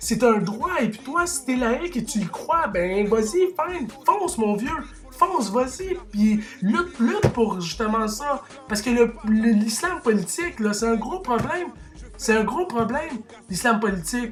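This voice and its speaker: In an animated tone, the speaker talks at a fairly slow pace with a Quebec accent over noticeable background noise. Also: man, extremely high pitch for a man. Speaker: YouTuber commentator. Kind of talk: opinion rant to camera. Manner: animated, heated; halting, repeats words.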